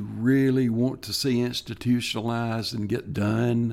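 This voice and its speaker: A man speaks with a Tennessee accent and fairly even intonation. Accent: US Southern (Tennessee). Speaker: retired state parks programming official. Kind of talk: interview.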